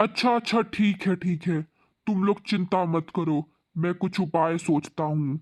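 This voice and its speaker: A man performs a put-on character voice at a high pitch, moving at a moderate pace. The loudness stays very even, and the sound is dry and close with no echo. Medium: read story.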